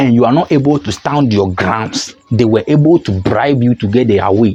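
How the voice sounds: With a dark, mellow tone and a slightly husky edge, a man speaks at a medium pitch and moderate pace with lively intonation.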